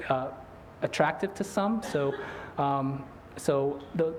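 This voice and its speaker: A man talks amid audible room echo, with background noise that is noticeable. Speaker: invited speaker, physician. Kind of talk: lecture. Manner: fast; mumbling.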